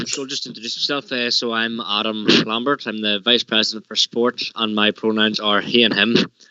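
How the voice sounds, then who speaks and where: Amid noticeable background noise, a man at medium pitch talks at a moderate pace with hardly any pauses. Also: fairly even intonation. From Ireland. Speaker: student union officer. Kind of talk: meeting report. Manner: hesitant, many fillers and repeats.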